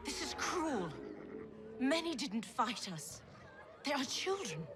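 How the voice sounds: Over faint background noise, a woman does a put-on character voice that is high-pitched and fairly bright in tone, speaking at a slow pace with big pitch swings.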